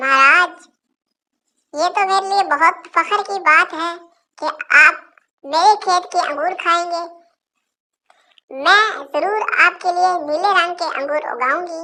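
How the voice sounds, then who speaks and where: A squeaky, cartoonish character voice from a woman, extremely high-pitched, at a fairly slow pace with long, frequent pauses. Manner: sweet and trusting.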